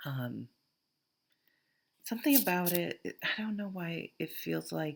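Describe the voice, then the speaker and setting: Speaking at a fairly slow pace, a woman talks in a Vermont accent. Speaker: tarot reader. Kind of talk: tarot reading to camera. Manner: casual, thinking aloud with fillers.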